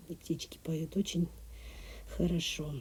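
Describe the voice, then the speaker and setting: A woman's dark, mellow tone at a fairly slow pace, with ordinary pitch variation, in a very clean recording with a silent background. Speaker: sewing and embroidery tutorial creator. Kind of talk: voiceover for a sewing tutorial, casual chat with viewers. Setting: recording voiceover at a country house. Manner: talkative.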